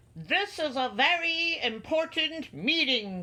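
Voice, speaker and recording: A put-on character voice, pitched high. It moves at a fairly slow pace. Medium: read story.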